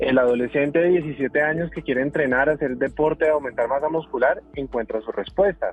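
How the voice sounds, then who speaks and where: A fairly quick pace with hardly any pauses and ordinary pitch variation, over noticeable background noise. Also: man, fairly high pitch for a man. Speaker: medical doctor and author. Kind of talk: podcast interview. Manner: explanatory, animated.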